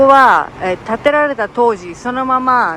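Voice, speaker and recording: Against noticeable background noise, a woman with a fairly high voice talks at a fairly slow pace. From Japan. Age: 50s. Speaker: travel vlogger, retired Japanese teacher. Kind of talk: casual travel vlog narration.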